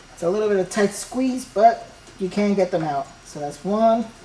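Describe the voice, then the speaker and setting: A woman speaks over noticeable background noise. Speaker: printer repair tutorial host. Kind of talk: tutorial. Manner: fast; casual.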